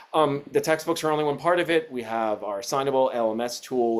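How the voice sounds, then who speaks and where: Here a man talks with ordinary pitch variation. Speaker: educational publisher representative. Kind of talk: webinar presentation. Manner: fast; many fillers and restarts.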